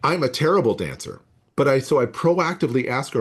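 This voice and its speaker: In a plain, everyday voice with an American accent, a man speaks at a moderate pace with ordinary pitch variation over a quiet background. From US Southwest desert. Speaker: biology professor. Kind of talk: casual chat. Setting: video call.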